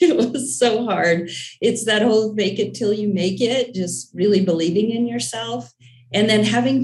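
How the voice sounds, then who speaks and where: A voice with vocal fry speaks at a moderate pace. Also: woman. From Alaska. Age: 60s. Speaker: business owner, construction and engineering. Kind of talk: panel discussion.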